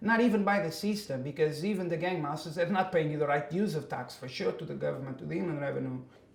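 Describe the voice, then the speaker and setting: There is noticeable background noise and audible room echo. A man speaks with a Portuguese accent and ordinary pitch variation. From Portugal. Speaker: migrant worker. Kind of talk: interview. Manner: halting.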